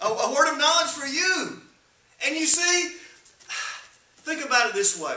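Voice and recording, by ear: A man talks at an extremely high pitch and a fairly slow pace, his tone bright and sharp, his pitch swinging widely. Strong room echo surrounds the voice.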